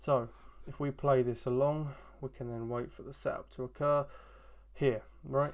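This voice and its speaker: A man speaks in an unremarkable speaking voice at medium pitch. He keeps a moderate pace. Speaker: trading educator. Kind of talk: tutorial.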